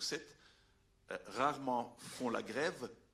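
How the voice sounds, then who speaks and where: Speaking with a Belgian accent, a man uses a medium pitch. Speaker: veterinarian and scientific adviser. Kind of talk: public talk. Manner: halting, many hesitations.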